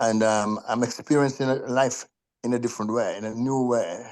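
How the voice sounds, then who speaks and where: Over a quiet background, a man at medium pitch speaks in a monotone, flat intonation. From Jamaica. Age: 70s. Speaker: participant in a group call. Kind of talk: personal sharing in a group video call. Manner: halting, repeats words.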